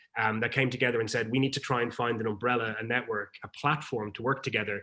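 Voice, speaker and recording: In an Irish accent, a man talks very fast at a medium pitch. His intonation stays fairly even. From Ireland. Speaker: peacebuilding network leader. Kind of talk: presentation.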